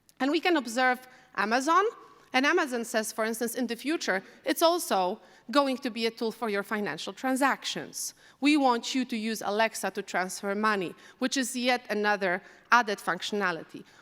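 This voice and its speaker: Recorded very cleanly against a silent background, a woman with a Polish accent speaks at a moderate pace in a fairly high voice with lively intonation. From Poland. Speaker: AI researcher. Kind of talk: conference talk. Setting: stage with audience.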